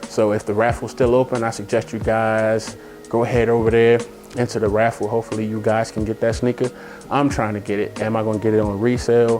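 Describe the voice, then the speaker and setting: With music in the background, a man at a medium pitch speaks at a very fast pace. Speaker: sneaker vlogger. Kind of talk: casual sneaker unboxing talk. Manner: animated.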